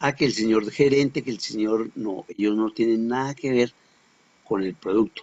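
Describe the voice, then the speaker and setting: A man has an unremarkable speaking voice of medium pitch with ordinary pitch variation. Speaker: teacher. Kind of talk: lecture.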